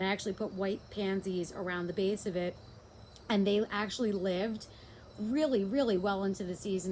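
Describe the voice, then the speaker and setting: With a New Jersey accent, a woman talks at a fairly quick pace in a medium pitch with fairly even intonation. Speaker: home gardener. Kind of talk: casual garden walkthrough to camera.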